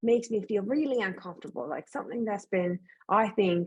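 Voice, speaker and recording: A woman speaks with a Newfoundland accent. Her pace is fairly quick. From rural Atlantic Canada. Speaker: author. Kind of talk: panel discussion.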